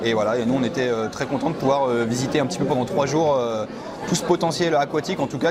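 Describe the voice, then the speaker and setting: A man with a medium pitch and ordinary pitch variation talks very fast, with audible room echo and noticeable background noise. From France, Biarritz. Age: 20s. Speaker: surf magazine journalist. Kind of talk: interview. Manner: hesitant, many fillers.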